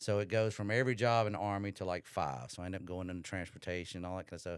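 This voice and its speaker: A man with a Southern US accent and fairly low pitch speaks at a fairly quick pace with fairly even intonation, in a very clean recording with a silent background. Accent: Simpson County Southern. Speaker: Army veteran, nonprofit founder. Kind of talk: interview storytelling. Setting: studio.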